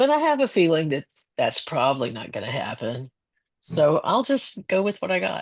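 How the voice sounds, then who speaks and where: A woman with a medium pitch speaks at a moderate pace, her voice showing vocal fry. Her pitch swings very widely. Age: 70s. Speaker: artist and former teacher presenting her work. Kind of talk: Q&A at a member meeting.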